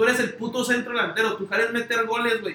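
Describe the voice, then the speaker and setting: Over noticeable background noise, a man with a Mexican accent talks at a very fast pace in a raised, projected voice with a high pitch. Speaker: sports podcast co-host. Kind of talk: casual chat.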